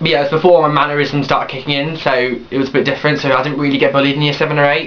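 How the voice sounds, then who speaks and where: Over noticeable background noise, a man talks at a very fast pace with a fairly high pitch. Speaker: vlogger. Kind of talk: personal vlog, testimony. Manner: hyper.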